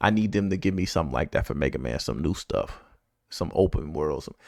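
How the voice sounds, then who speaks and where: The speaker's animated tone carries lively intonation and vocal fry, in a very clean recording with a silent background. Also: man. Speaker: gaming reaction youtuber. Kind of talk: casual reaction commentary. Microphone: close to the mic.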